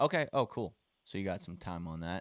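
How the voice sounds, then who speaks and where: On a very clean recording with a silent background, a man with a Southern US accent speaks at a moderate pace, the sound dry and close with no echo. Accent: Southern speech habits. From US South, Charleston, South Carolina. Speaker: real estate wholesaler. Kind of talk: cold call to a property owner. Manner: casual, hesitant with fillers.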